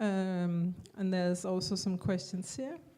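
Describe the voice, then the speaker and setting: A woman's dark, mellow tone at a fairly slow pace. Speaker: art institution director. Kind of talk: lecture.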